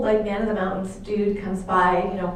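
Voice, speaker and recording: Noticeable background noise and audible room echo surround a woman speaking at a moderate pace. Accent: American. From Boston area, Massachusetts. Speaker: religious sister and speaker. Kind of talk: talk to an audience. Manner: animated.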